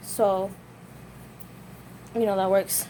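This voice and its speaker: The intonation of this woman's voice stays fairly even. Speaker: vlogger. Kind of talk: casual vlog monologue. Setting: at home folding laundry. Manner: fast.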